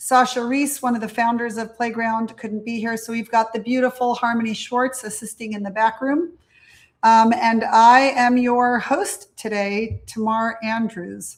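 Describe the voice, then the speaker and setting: Intonation stays fairly level at a somewhat unhurried speed. It is a plain, everyday voice. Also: woman, fairly high pitch for a woman. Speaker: webinar host, former preschool director. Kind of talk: interactive webinar workshop. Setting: live online webinar.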